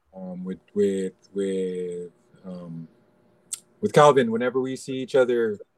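Recorded with a dry, close sound with no echo, a man speaks in a fairly low voice with ordinary pitch variation. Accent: Californian. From US, Los Angeles (Pacoima, San Fernando Valley). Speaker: basketball assistant coach and analyst. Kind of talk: casual interview.

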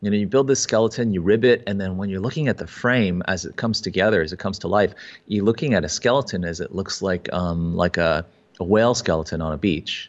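A man talks at a very fast pace in an American accent. His pitch is fairly low, with ordinary pitch variation. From US (Maryland, China, Texas, New York). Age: 40s. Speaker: photographer and kayak builder. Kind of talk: casual interview.

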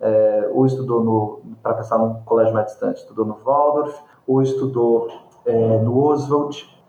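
Medium in pitch with a dark, mellow tone, a man speaks at a fairly slow pace. His intonation is fairly even, and room echo is audible. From Brazil. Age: 30s. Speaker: film critic, curator and professor. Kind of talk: interview conversation about films.

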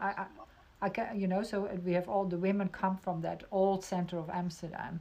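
A woman with a Dutch accent, medium in pitch, dark and mellow in tone, flat and monotone in intonation, at a moderate pace. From Netherlands. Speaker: podcast host. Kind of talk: interview. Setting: video call.

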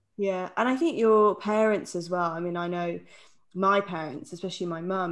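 With an ordinary speaking voice, a woman talks at a moderate pace and fairly low pitch with fairly even intonation over a quiet background. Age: 30s. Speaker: podcast co-host. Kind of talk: casual chat.

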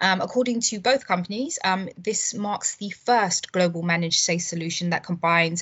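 A woman with an unremarkable speaking voice talks at a moderate pace and a fairly low pitch. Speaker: telecoms reporter. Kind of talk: news roundup.

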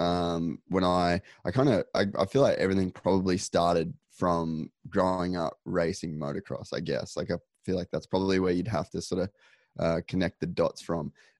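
A man with an Australian accent talks at a moderate pace in a very deep, low voice. His intonation is fairly even, and the sound is dry and close with no echo. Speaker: podcaster and motocross racer. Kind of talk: casual interview chat. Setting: remote call.

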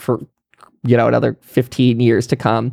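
A man with an American accent and a normal speaking voice talks at a moderate pace and medium pitch, the sound dry and close with no echo. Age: 30s. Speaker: political podcaster. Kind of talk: monologue commentary.

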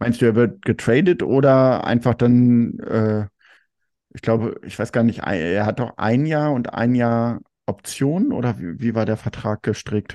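Speaking at a very slow pace, a man has a medium pitch and a dark, mellow tone. His pitch variation is ordinary, and the background is quiet. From Germany. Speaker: fan podcast host. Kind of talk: casual chat.

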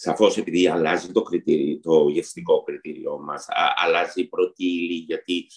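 A man does the talking. The sound is dry and close, without any echo. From Istanbul, Turkey; Greece from age 10. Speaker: pastry chef. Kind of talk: interview.

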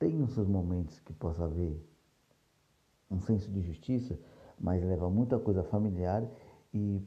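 This man's voice sits fairly low, with a dark, mellow tone and a somewhat breathy quality. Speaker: podcast host, series reviewer. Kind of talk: casual solo review monologue.

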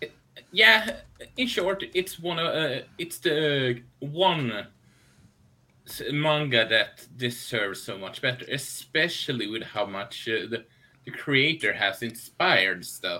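A man's fairly high voice, very slow in pace, with very wide pitch swings. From Sweden. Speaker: anime podcast co-host. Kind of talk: casual chat. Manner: halting.

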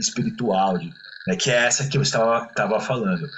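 Pitch leaps about very widely, with vocal fry running through the sound. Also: man. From Brazil, Santos (São Paulo coast). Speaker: musician and musicologist. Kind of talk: casual interview chat.

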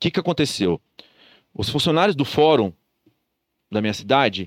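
A man at a moderate pace, with vocal fry and very wide pitch swings, in a dry, close sound with no echo on a very clean recording against a silent background. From interior of São Paulo state, Brazil. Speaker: entrepreneur. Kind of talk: casual chat.

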